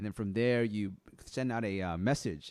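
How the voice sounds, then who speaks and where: Recorded very cleanly against a silent background, a man with an American accent and an ordinary speaking voice talks at a fairly quick pace in a medium pitch, the sound dry and close with no echo. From Philippines-born immigrant raised in US. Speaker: online business coach, creative entrepreneur. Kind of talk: live-stream tutorial. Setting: live stream. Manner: casual, with many fillers.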